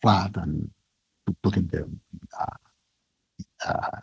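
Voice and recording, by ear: With vocal fry and a husky, rough edge, a man speaks in a slightly mellow tone.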